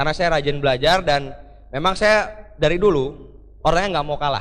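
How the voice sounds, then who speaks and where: A man speaks at a fairly quick pace with lively intonation and a fairly high pitch. Some room echo can be heard. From Jakarta, Indonesia. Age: 20s. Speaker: motivational speaker. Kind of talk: motivational speech. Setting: stage with audience. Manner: energetic.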